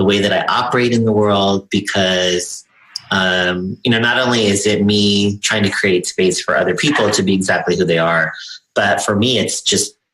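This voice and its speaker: This man has a fairly low pitch and an American accent. He talks at a moderate pace, his intonation fairly even and his loudness very even. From US, Chicano. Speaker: LGBTQ activist. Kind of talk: interview.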